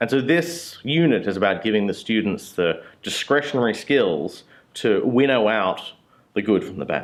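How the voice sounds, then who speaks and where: With an Australian accent, a man talks at a moderate pace while his pitch swings very widely. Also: medium pitch for a man. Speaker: university lecturer. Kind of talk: interview talk. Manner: casual, with hesitations.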